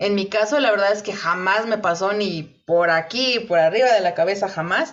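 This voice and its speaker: The speaker uses ordinary pitch variation and keeps a moderate pace. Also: woman, medium pitch for a woman. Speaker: podcast co-host. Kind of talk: casual chat. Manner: loud; halting.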